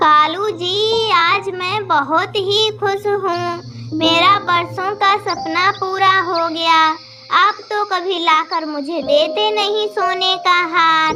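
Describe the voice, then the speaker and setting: A cartoonish character voice moves at a very slow pace with hardly any pauses. Clear background noise is present. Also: female-sounding voice, extremely high pitch for a woman. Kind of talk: children's cartoon character voices.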